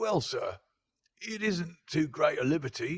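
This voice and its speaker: A man's put-on character voice, high-pitched, croaky and gruff, at a moderate pace. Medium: read story. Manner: gruff, deferential, wheedling.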